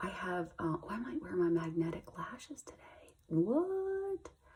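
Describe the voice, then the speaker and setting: A woman's fairly low voice with lively intonation at a fairly slow pace, over noticeable background noise. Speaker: beauty vlogger and cancer patient. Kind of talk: get ready with me tutorial. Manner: casual, hesitant; whispering at times.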